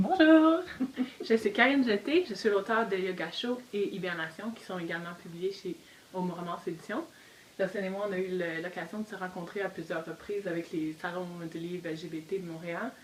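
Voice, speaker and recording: A woman's medium-pitched voice, with ordinary pitch variation, moves fairly quickly as noticeable background noise runs underneath. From Quebec. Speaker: novelist. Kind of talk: casual discussion.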